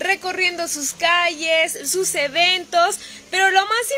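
Over light background noise, a woman with an extremely high voice speaks in a raised, projected, upbeat tone. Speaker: community program host. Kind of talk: casual talk to camera, community interview host. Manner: upbeat, friendly. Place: street. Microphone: phone near.

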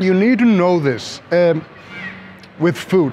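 Over light background noise, a man speaks with lively intonation. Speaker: travel vlogger. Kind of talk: casual vlog chat. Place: street. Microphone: phone near.

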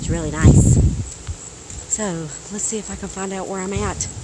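Loud background noise runs under a woman's voice. The sound itself is dry, with no echo. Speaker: vlogger. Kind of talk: casual vlog chat. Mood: playful, animated, expressive. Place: open country. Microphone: phone near.

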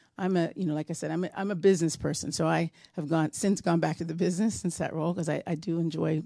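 Against a quiet background, a woman talks at a very fast pace with fairly even intonation. Her tone is dark and mellow, with vocal fry. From Canada. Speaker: nonprofit board vice chair and business person; presenter. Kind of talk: seminar presentation. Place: hall. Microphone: handheld.

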